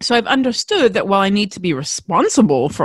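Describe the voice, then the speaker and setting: Her pitch swings very widely. The speaker is a woman. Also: dry, close sound with no echo. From Australia. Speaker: podcast host. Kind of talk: solo podcast monologue, storytelling. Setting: recorded indoors, windy day. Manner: fast talker when passionate, animated.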